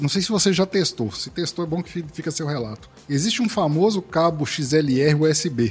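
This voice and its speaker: A man's fairly high voice with lively intonation, a moderate pace and hardly any pauses, against noticeable background noise. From Minas Gerais, Brazil. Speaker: podcast host and editor. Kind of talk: casual interview chat.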